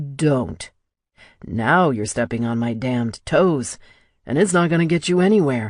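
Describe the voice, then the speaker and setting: In a gruff, put-on character voice, a man speaks at a moderate pace with medium pitch and lively intonation. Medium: read story. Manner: gruff, profane, commanding.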